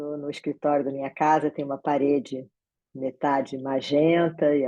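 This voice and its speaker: The woman's voice is very deep and low in pitch, with a dark, mellow tone. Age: 60s. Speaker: meeting facilitator. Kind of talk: online meeting moderation. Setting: video call from home office.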